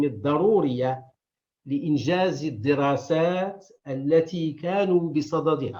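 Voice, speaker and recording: A man with a fairly high pitch, talking at a very slow pace. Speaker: historian and archive director. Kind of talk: conference lecture. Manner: formal.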